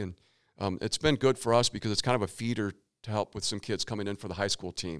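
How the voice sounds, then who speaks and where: On a very clean recording with a silent background, a man with a fairly low pitch comes across dry and close, with no echo. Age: 50s. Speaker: tennis coach. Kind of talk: casual interview. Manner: halting.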